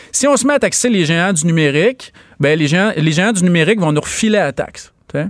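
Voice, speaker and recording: Fairly quick and lively in intonation, a man speaks with a high voice. His loudness is very even. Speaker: economics columnist and professor. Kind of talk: radio interview.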